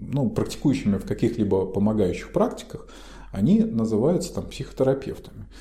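A man is speaking. Room echo can be heard. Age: 40s. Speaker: psychologist and podcast co-host. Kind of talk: casual chat.

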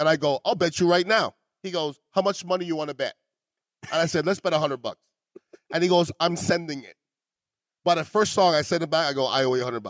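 A man with a Montreal accent talks at a very fast pace in a high voice with ordinary pitch variation, big swings in loudness and long, frequent pauses, in a dry, close sound with no echo. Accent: Canadian English, Montreal. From Montreal, Canada. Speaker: podcast host. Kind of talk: casual chat. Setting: restaurant.

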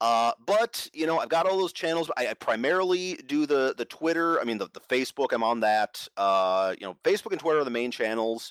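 With an American accent, a man speaks at a moderate pace with very wide pitch swings and hardly any pauses. The sound is dry and close with no echo, in a very clean recording over a silent background. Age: 40s. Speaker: game designer and publisher. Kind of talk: interview.

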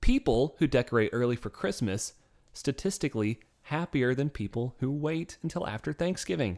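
A normal speaking voice goes at a moderate pace. The recording is very clean with a silent background and a dry, close sound with no echo. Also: man, fairly high pitch for a man, lively intonation. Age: 20s. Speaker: podcast co-host. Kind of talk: casual chat.

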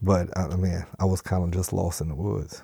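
A man speaks in a very deep, low voice with a dark, mellow tone and monotone, flat intonation. He keeps a moderate pace on a very clean recording with a silent background. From South Louisiana, Cajun bayou town near Morgan City. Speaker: recovering alcoholic. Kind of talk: recovery testimony interview. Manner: halting, many fillers and repeats.

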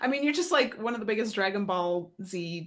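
A woman with a normal speaking voice, medium pitch, lively intonation and a fairly quick pace. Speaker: podcast co-host. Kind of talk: casual chat.

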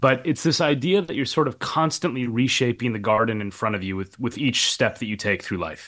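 A man talks in a plain, everyday voice at a medium pitch, with lively intonation. He moves at a fairly quick pace with hardly any pauses, over a quiet background. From Minnesota, US Midwest. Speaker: professor and author. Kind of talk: interview. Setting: hotel room.

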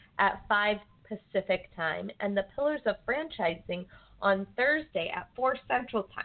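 Here is a woman with an ordinary speaking voice, a medium pitch and an American accent. Her intonation is lively and her pace is moderate. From Arizona (Phoenix). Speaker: radio show producer. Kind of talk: casual chat.

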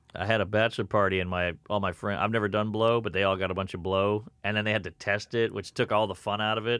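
A man with an American accent, fairly low in pitch and monotone, talking very fast with hardly any pauses over a quiet background. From US South, Louisiana. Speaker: comedian. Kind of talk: casual chat.

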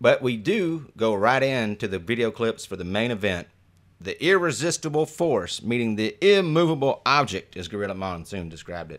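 Heard on a very clean recording with a silent background, this voice with an American accent moves at a moderate pace, with very wide pitch swings and big swings in loudness. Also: man, medium pitch for a man. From Detroit, Michigan. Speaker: podcast host, improviser. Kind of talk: casual chat.

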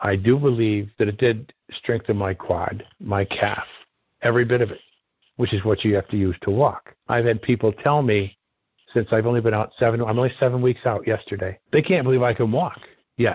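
A man talks in a normal speaking voice with a medium pitch. His pace is moderate and his pitch varies in an ordinary way. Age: 60s. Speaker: retired concrete worker, knee surgery patient. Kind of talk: interview.

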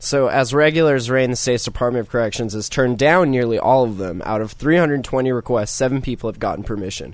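An ordinary speaking voice from a man of medium pitch, at a fairly quick pace with hardly any pauses and ordinary pitch variation. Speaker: podcast host. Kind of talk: casual chat.

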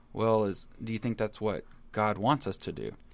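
In a very clean recording with a silent background, a man uses a plain, everyday voice at medium pitch and a moderate pace. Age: young. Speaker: pastor. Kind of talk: casual chat. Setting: studio.

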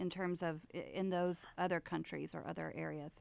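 Here is a woman with an unremarkable speaking voice. She speaks at a fairly low pitch and a fairly slow pace. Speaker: podcast co-host and business owner. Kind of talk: casual interview.

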